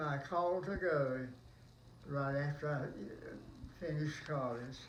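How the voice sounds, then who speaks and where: Audible room echo colors a man's voice, fairly high in pitch with ordinary pitch variation. He speaks at a very slow pace. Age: 90s. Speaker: World War Two army veteran. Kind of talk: oral history interview. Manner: halting.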